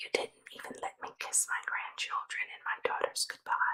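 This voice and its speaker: Someone whispers in a soothing tone. The pace is moderate. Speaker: ASMR Bible reader. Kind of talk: scripture reading. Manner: whispered; soft-spoken, soothing.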